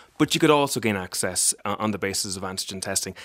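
A man with an Irish accent speaks with lively intonation. The recording is very clean and dry, close with no echo, over a silent background. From Ireland, County Meath. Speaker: party leader, politician. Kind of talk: radio panel debate. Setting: studio.

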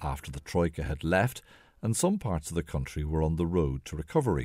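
In a very clean recording with a silent background, a man with an Irish accent speaks with lively intonation, a dark, mellow tone and a very deep, low pitch. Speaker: radio documentary presenter. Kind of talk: documentary narration. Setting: home living room.

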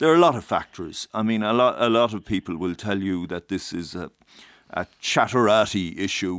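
A man with a fairly low pitch speaks at a moderate pace with lively intonation. The recording is very clean, with a silent background and a dry, close sound with no echo. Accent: Irish. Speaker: political correspondent. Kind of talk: radio studio analysis. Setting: studio.

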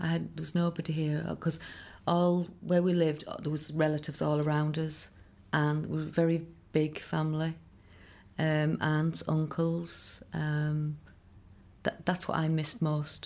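A woman's very deep, low voice in a Connemara accent, monotone and flat in intonation. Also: moderate pace. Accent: Irish (Connemara). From Ireland, Connemara. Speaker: singer's daughter. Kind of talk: interview reminiscence.

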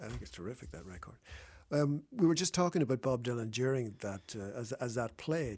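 This man has an Irish accent and a medium pitch. His intonation is lively. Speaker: radio host. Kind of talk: radio interview. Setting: studio.

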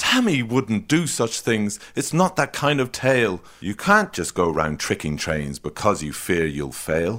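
Hardly pausing, a man talks at a fairly slow pace in an animated tone, with very wide pitch swings and vocal fry. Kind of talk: children's story reading, scripted comic sketch. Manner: mock-patient, fussy teacherly sing-song, exasperated at interruptions; animated, rhythmic rhyming delivery.

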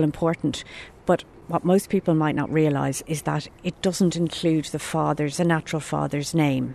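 A woman speaks with an Irish accent in a very deep, low pitch, her tone dark and mellow. Her intonation stays fairly even at a moderate pace. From Ireland. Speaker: adoption rights advocate. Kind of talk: interview.

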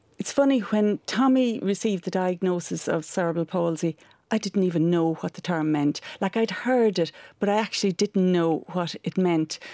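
In an Irish accent, a woman with a medium pitch and a dark, mellow tone speaks at a moderate pace with ordinary pitch variation, recorded very cleanly against a silent background with a dry, close sound and no echo. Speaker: charity director and parent. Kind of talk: radio interview. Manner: halting.

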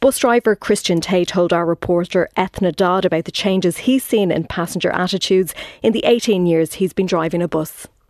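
A woman with an Irish accent talks at a fairly quick pace with hardly any pauses, medium pitch, ordinary pitch variation and very even loudness. The sound is dry and close with no echo, over a quiet background. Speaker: radio news presenter. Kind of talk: radio news interview. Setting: studio.

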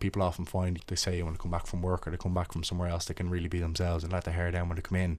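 Everything is said in a monotone, flat intonation. The background is silent and the recording very clean. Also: man. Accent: Dublin. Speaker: footballer and mental health ambassador. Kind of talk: interview about mental health. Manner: halting, with repetitions.

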